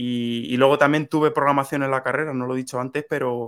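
A man talks very fast. His voice sits at a mid-range pitch. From Spain, Toledo province. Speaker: software/tech community member. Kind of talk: interview.

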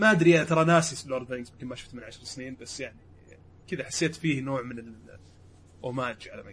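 Speaking very fast, a man with a fairly high pitch shows ordinary pitch variation and big swings in loudness. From Saudi Arabia, Riyadh. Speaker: podcast co-host and producer. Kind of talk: casual chat.

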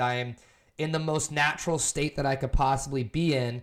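Speaking in a plain, everyday voice, a man with a fairly high pitch talks at a moderate pace with fairly even intonation on a very clean recording with a silent background. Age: 20s. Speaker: former athlete and creative. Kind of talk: casual chat.

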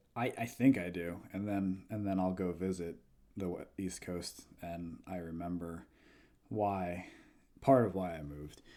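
The voice has a dark, mellow tone, ordinary pitch variation and an American accent. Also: man, very deep, low pitch for a man, fairly slow pace. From New Jersey. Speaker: comic book writer. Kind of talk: casual interview.

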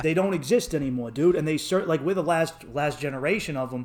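A Boston accent at a fairly quick pace, with ordinary pitch variation and a slightly mellow tone. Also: man, fairly high pitch for a man.

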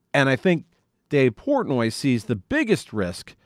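A man with a normal speaking voice talks at a fairly slow pace and medium pitch on a very clean recording with a silent background. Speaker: fan podcast host. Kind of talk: solo commentary reacting to played clips. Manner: casual, conversational.

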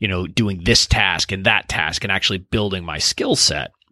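A man with an American accent, bright, sharp tone and a dry, close sound with no echo. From Deep South Texas, near Mexican border. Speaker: intellectual property attorney. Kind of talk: interview. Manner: halting, many fillers.

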